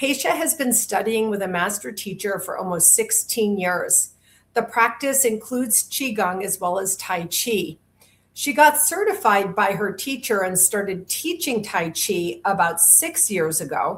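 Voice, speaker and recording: Intonation is lively as a woman speaks at medium pitch. Her voice is somewhat breathy, and her pace is fairly slow. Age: 60s. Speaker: podcast host. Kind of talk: interview.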